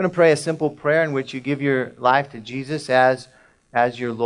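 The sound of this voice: The clip features an unforced reading voice. That same unforced reading voice carries the whole passage.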